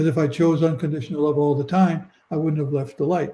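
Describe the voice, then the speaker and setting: Fairly quick and somewhat breathy, a man talks with a fairly high pitch, a dark, mellow tone and fairly even intonation. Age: 80s+. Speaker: near-death experiencer. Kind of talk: interview. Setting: live video stream.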